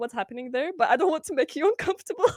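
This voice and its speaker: A woman speaks with a Lithuanian accent and lively intonation. The sound is dry and close, without echo. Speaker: streamer. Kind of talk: casual interview chat.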